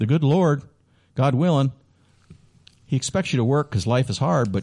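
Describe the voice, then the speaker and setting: With an American accent, a man speaks at a moderate pace and medium pitch, his voice somewhat breathy and his intonation lively. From Chicago, US Midwest. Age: 50s. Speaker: radio host and hockey PA announcer. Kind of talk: casual interview. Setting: radio studio.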